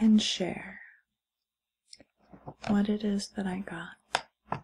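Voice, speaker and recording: Soft-spoken and somewhat breathy, a woman talks at a very slow pace in a gentle tone with monotone, flat intonation. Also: medium pitch for a woman. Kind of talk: ASMR haul / unboxing talk to camera. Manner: soft-spoken, gentle.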